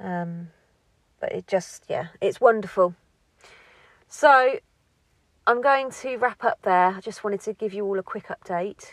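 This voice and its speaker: A woman at medium pitch with lively intonation and big swings in loudness, at a fairly slow pace with long, frequent pauses, in a dry, close sound with no echo, on a very clean recording with a silent background. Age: 40s. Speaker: home-educating parent, podcast host. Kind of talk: casual monologue. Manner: rambling, hesitant.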